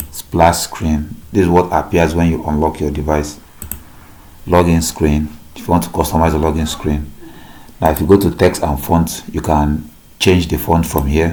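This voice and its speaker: Over noticeable background noise, a man with a very deep, low voice speaks at a moderate pace in a flat monotone. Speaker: tech youtuber. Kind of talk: tutorial.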